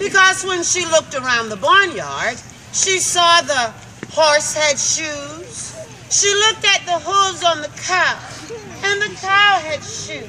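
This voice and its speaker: Over crowd noise in the background, a raised, projected voice speaks at a very slow pace. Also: woman, extremely high pitch for a woman. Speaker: storyteller. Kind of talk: folk tale storytelling to children.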